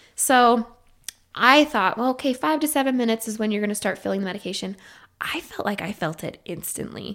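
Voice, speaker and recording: Woman with an American accent and a plain, everyday voice, fairly high in pitch, lively in intonation, at a fairly quick pace. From Idaho. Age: 30s. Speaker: psychiatric nurse practitioner. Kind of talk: interview.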